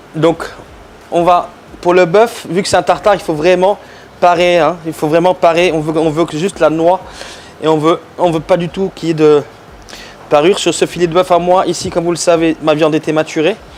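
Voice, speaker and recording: There is noticeable background noise as a man speaks with a high pitch. His intonation is monotone and flat, with long, frequent pauses. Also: moderate pace. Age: 40s. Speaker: chef. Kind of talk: cooking tutorial. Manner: hesitant, many fillers.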